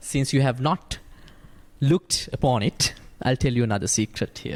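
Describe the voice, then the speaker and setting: In a Sri Lankan accent, a somewhat breathy voice moves at a moderate pace with ordinary pitch variation, recorded with a dry, close sound and no echo. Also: man, medium pitch for a man. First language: Sinhala. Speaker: Buddhist monk. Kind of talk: dhamma discussion.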